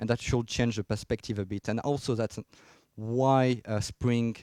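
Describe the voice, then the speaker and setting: A man with a French accent speaks at a moderate pace and medium pitch, with fairly even intonation and a dark, mellow tone. The recording is very clean with a silent background, dry and close with no echo. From France. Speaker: software engineer, conference speaker. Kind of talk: technical conference talk. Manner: hesitant, many fillers.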